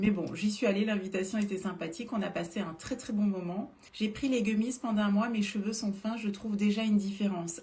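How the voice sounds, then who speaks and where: The voice has an animated tone, ordinary pitch variation and a moderate pace. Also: woman. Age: 40s. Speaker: beauty influencer selling supplements. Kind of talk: live stream product talk. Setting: live stream. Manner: hesitant, many filler sounds.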